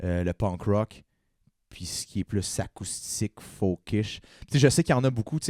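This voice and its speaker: In a very clean recording with a silent background and a dry, close sound with no echo, a man speaks at a moderate pace with a fairly low pitch and a dark, mellow tone. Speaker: punk and acoustic musician. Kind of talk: casual chat.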